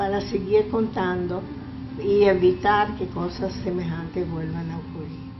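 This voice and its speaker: The recording carries noticeable background noise along with audible room echo. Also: woman. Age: 80s+. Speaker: Holocaust survivor. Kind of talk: testimony. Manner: halting.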